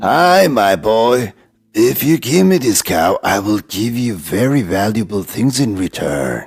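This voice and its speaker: Putting on a character voice at a medium pitch, a man speaks at a fairly slow pace with very wide pitch swings. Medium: read story. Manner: coaxing.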